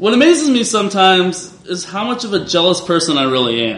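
Over noticeable background noise, a man with a high pitch talks at a moderate pace, his voice making very wide pitch swings. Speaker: comedian. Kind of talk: live storytelling. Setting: stage with audience.

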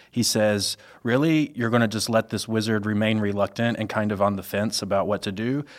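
In an American accent, a man speaks fairly quickly at a fairly low pitch, using an ordinary speaking voice. His intonation is fairly even, and the recording is very clean with a silent background. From US South (Mississippi/Louisiana). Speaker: communications staffer, podcast guest. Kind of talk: casual chat.

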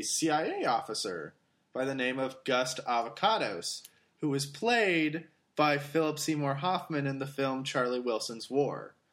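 With an American accent, this man talks at a fairly slow pace, his pitch fairly high and his tone bright and sharp. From Germany, Greece and Austria (American expat family). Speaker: podcast guest. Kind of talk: casual chat.

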